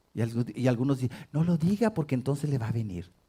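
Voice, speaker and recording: Lively in intonation and fairly quick, a man's somewhat breathy voice carries a dark, mellow tone. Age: 60s. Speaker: pastor. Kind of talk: sermon.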